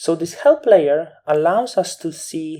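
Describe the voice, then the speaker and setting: The words come out very slowly. A non-native accent shapes the speech. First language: not English. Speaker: photo editing tutor. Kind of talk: tutorial. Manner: halting.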